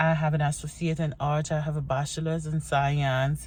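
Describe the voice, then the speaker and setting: A woman with a very deep, low pitch speaks in an animated, somewhat breathy tone at a moderate pace. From Haiti. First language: Haitian Creole. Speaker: vlogger. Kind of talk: casual get-to-know-me vlog.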